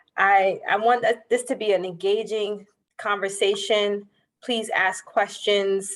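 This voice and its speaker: A woman speaks at a moderate pace, her intonation fairly even. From New York. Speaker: banker. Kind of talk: workshop presentation.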